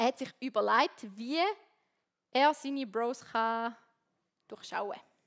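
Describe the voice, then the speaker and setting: Her pitch is fairly high, and this woman speaks at a fairly slow pace with ordinary pitch variation. The sound is dry and close with no echo. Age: 20s. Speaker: theology student and worship leader. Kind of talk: sermon. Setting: stage with audience.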